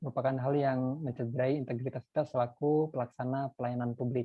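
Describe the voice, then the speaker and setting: Fairly even intonation from an ordinary speaking voice, at a fairly quick pace. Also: man. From North Sumatra, Indonesia. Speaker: lecturer. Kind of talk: lecture.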